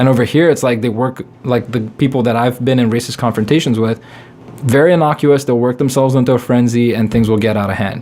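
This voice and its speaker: Medium-pitched man with a non-native accent, very fast pace and fairly even intonation, over noticeable background noise. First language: not English. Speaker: comedian. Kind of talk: casual chat.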